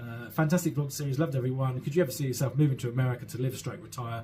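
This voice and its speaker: Somewhat breathy, a man at a medium pitch talks with fairly even intonation. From South London, England. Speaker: vlogger. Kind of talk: Q&A answering viewer questions. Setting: solo at home with a mug of tea. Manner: hesitant, many fillers and repeats.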